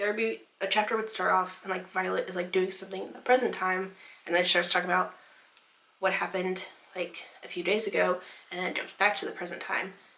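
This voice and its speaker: Noticeable background noise accompanies a woman with a medium pitch. She talks at a very fast pace with fairly even intonation. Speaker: book vlogger. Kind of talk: casual chat. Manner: casual, lots of filler words.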